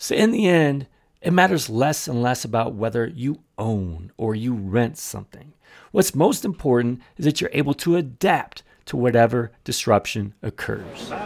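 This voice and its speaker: At a moderate pace, a man with a medium-pitched voice talks with lively intonation. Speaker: podcast host. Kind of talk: solo podcast rant, angry and fed up, scripted-sounding monologue. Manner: animated, exasperated, indignant; emphatic, sarcastic tone mocking the gurus.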